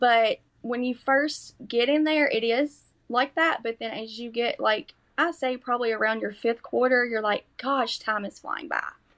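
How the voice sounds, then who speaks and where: With a strong Kentucky accent, a woman speaks at a moderate pace in a high pitch. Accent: strong rural Kentucky. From US South, Kentucky. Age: 40s. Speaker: nursing student. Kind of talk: podcast interview.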